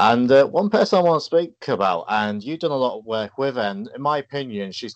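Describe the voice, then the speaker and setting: A man talks with lively intonation at a fairly quick pace, the background quiet. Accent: English. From England. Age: 30s. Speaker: podcast host. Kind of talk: interview.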